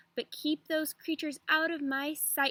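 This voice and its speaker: A woman puts on a growling character voice, high-pitched and flat in intonation, at a moderate pace. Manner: growling, huffy.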